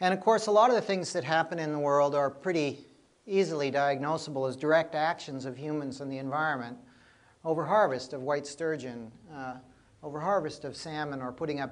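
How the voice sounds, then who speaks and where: With an American accent and a normal speaking voice, a man talks at a fairly quick pace in a fairly high pitch, with ordinary pitch variation and big swings in loudness. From US Pacific Northwest, Seattle. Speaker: ecology professor. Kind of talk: public lecture. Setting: venue with live audience. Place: hall. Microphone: lapel.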